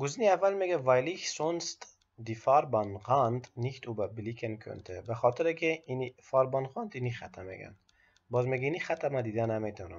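Speaking fairly quickly with an Afghan accent, a man uses a medium pitch and a somewhat breathy voice. His loudness swings widely. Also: lively intonation. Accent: Afghan Persian (Dari). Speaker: driving theory tutor. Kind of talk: instructional explanation mixing German quotes.

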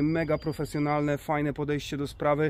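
A man talks fairly quickly in a monotone, flat intonation, with a dry, echo-free sound and light background noise. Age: 30s. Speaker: YouTuber, camper van builder; van builder vlogger. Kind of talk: casual vlog.

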